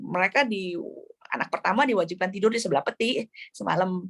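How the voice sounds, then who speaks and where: A woman with a medium pitch talks at a fairly quick pace, with ordinary pitch variation. The sound is dry and close, with no echo. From Jakarta, Indonesia. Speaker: novelist. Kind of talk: book club discussion. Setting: video call. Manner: hesitant with fillers.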